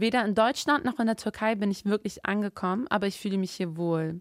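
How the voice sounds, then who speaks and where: An unremarkable speaking voice from a woman at a medium pitch, with a dry, close sound and no echo. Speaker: podcast co-host. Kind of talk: casual chat.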